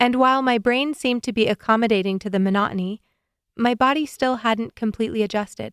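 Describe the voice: A quiet background behind plain reading aloud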